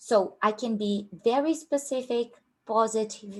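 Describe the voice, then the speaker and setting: Her intonation rises and falls in a lively way. The woman's voice carries a somewhat breathy quality. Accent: strong Brazilian. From Brazil, Rio de Janeiro. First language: Portuguese. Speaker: career coach at a tech recruiting company. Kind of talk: online workshop.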